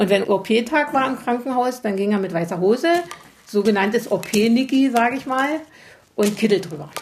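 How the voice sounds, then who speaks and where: Over noticeable background noise, a woman speaks at a moderate pace with a fairly high pitch and lively intonation. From Upper Lusatia, Saxony. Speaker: agricultural engineer. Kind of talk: interview.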